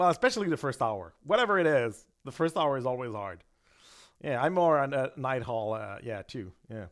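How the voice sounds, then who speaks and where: On a very clean recording with a silent background, a man with a French-Canadian accent speaks at a moderate pace, his medium-pitched voice swinging very widely in pitch. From Quebec. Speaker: gambling channel co-host. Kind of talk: casual live-stream chat. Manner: halting.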